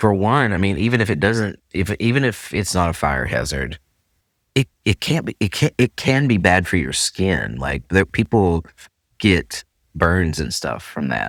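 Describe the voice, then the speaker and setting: Recorded dry and close with no echo, a man with a Southern Appalachian accent speaks fairly slowly at a very deep, low pitch, using very wide pitch swings and vocal fry. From Central Appalachia. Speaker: podcast host. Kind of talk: casual podcast conversation.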